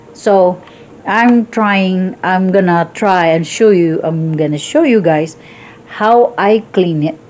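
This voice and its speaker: At a very slow pace and medium pitch, a woman with a Visayan Filipino accent speaks with ordinary pitch variation over noticeable background noise. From Philippines (Visayas). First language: Cebuano (Bisaya). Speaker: cooking vlogger. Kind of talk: cooking tutorial. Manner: halting, many restarts.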